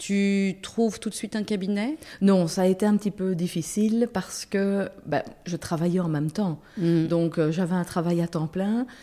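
The voice has a dark, mellow tone, ordinary pitch variation and a fairly slow pace. It comes through in a very clean recording against a silent background. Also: woman, medium pitch for a woman. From Belgium, Brussels. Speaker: lawyer and substitute judge. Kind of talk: casual interview.

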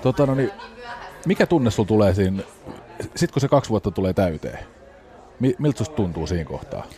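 Over crowd noise in the background, a man with a fairly low pitch talks at a fairly quick pace, swinging very widely in pitch and leaving long, frequent pauses. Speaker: podcast host. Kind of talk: casual interview; sponsor read.

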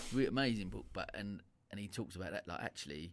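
Lively intonation and vocal fry from a man. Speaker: podcast host. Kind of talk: casual interview.

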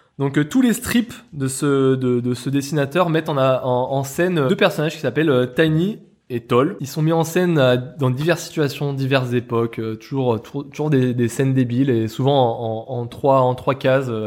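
In a plain, everyday voice, a man talks at a moderate pace and medium pitch with ordinary pitch variation and hardly any pauses. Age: 30s. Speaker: video game podcast co-host. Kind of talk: casual chat.

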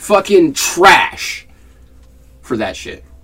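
Noticeable noise sits in the background. The man's pitch swings very widely as he talks. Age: 20s. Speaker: podcast co-host. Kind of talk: casual chat.

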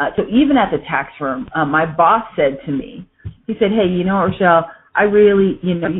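With an American accent, a woman speaks at a moderate pace and a medium pitch. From Southern California. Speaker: entrepreneur. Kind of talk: interview. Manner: halting, many fillers and repeats.

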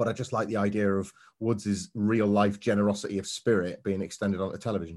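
In a Yorkshire accent, a man talks at a fairly quick pace. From northern England, Scarborough on the Yorkshire coast. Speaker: wrestling pundit. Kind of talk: casual review chat.

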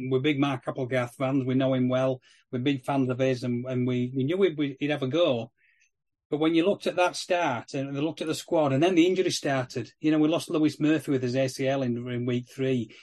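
Fairly even intonation at a fairly quick pace. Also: man, medium pitch for a man. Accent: Yorkshire. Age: 50s. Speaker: rugby league podcast co-host. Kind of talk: casual chat.

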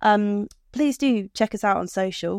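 Against a quiet background, a British-accented voice with ordinary pitch variation comes through in a dry, close sound with no echo. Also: woman. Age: 30s. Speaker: podcast co-host, marketing professional. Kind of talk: casual chat.

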